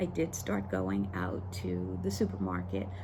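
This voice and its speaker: A woman with a very deep, low pitch and a dark, mellow tone speaks fairly slowly and somewhat breathily, with audible room echo. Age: 60s. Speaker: lifestyle vlogger. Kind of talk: personal story monologue. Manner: halting, many fillers.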